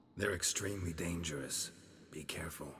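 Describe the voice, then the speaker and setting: A man's put-on character voice, very deep and low in pitch, at a fairly quick pace. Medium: video game. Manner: terse, gruff.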